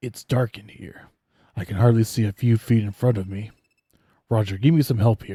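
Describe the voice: Using a put-on character voice, a man speaks in a medium pitch at a moderate pace, with long, frequent pauses.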